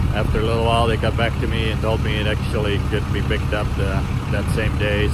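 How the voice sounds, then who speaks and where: A man speaks at a fairly quick pace with a dry sound and no echo. Loud background noise is present. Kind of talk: casual vlog chat. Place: waterside. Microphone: phone near.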